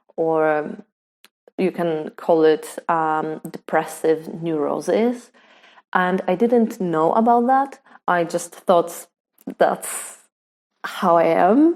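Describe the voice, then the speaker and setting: A woman with a Polish accent and fairly low pitch, very slow pace with long, frequent pauses, on a very clean recording with a silent background. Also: ordinary pitch variation. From Poland. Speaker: photographer. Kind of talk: personal vlog story. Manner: halting, many fillers.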